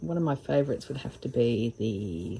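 A woman's dark, mellow voice with vocal fry and very wide pitch swings, over light background noise. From Australia. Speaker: embroidery hobbyist. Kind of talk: casual craft video narration. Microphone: phone near.

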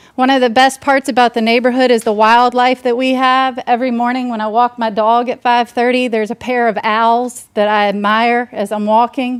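A woman speaks loudly at a high pitch and moderate pace, monotone and flat, with hardly any pauses. The recording is very clean and dry, close with no echo, and the background is silent. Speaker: resident speaking at public comment. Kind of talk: public comment at meeting. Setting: public meeting hall. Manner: impassioned.

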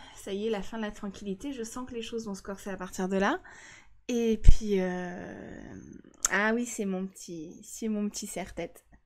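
Fairly slow and with fairly even intonation, a woman speaks. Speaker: game streamer. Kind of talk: casual gameplay commentary. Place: home room. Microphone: studio mic.

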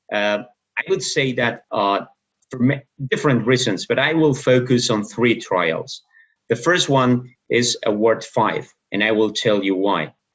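Over a quiet background, a man talks at a very slow pace and medium pitch, with ordinary pitch variation and very even loudness. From Spain. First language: Spanish (speaking Indonesian). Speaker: professor of medicine. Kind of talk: lecture. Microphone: webcam.

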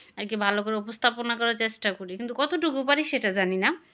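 Recorded very cleanly against a silent background, a woman speaks in a fairly high voice with a bright, sharp tone. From rural Bangladesh. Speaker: vlogger. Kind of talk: casual vlog monologue. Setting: at home, sitting on bed. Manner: halting.

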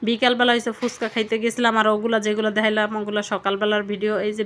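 The speaker is a woman with a fairly high-pitched voice. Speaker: cooking and daily-life vlogger. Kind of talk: casual vlog talk.

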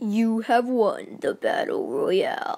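Very slowly, a female-sounding voice delivers a cartoonish character voice. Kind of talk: game-show announcing.

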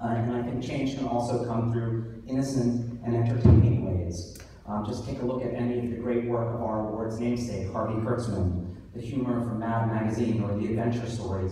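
With strong room echo and light background noise, a man speaks at a fairly quick pace in a monotone, flat intonation. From US, New York City. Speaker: author and awards host. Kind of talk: awards ceremony speech. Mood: heartfelt, personal. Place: hall. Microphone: camera far.

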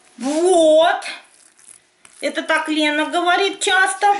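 Against audible room echo, a woman speaks at a very slow pace. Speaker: home cooking vlogger. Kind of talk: casual cooking tutorial chat. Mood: cheerful, humorous. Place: kitchen. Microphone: camera far.

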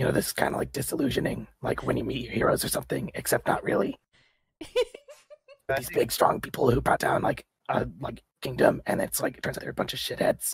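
A man uses a raspy put-on character voice at a fairly quick pace. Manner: raspy, threatening, impatient; irritated, crude.

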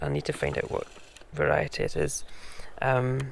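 Soft-spoken delivery in a Scottish accent over noticeable background noise. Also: man. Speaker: home gardener. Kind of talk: casual talk to camera.

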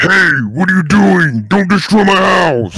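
A man puts on a character voice, pitched high for a man. His intonation is lively and his pace moderate. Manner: angry.

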